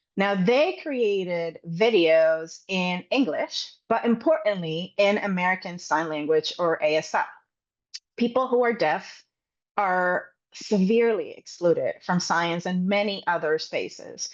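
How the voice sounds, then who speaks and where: Speaking in a medium pitch at a fairly slow pace, a woman uses lively intonation. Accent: Spanish. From Puerto Rico. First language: Spanish. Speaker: science communication trainer. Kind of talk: webinar presentation.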